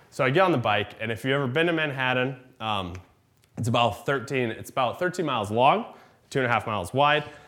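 In a normal speaking voice with an American accent, the speaker moves at a fairly quick pace with lively intonation. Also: man, medium pitch for a man. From Iowa. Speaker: comedian. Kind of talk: storytelling. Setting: stage with audience.

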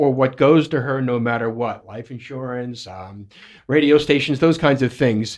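This is a man with an unremarkable speaking voice, medium in pitch. He talks at a moderate pace with fairly even intonation on a very clean recording with a silent background. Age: 50s. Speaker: radio station owner and co-host. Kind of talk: radio talk show. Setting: studio.

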